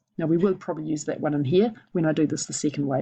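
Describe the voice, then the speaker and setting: Against a quiet background, a woman speaks with a fairly low-pitched voice. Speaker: maths teacher. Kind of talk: tutorial.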